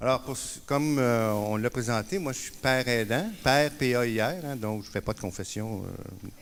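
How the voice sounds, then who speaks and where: A man speaks with a Quebec accent. His pitch is medium and his pace moderate. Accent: Québécois. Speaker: peer support worker. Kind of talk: conference talk. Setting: conference stage with audience. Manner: hesitant, many fillers.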